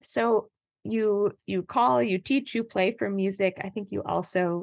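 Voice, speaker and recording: Her voice sits at a medium pitch. The woman talks at a very slow speed. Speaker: podcast host. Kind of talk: interview conversation.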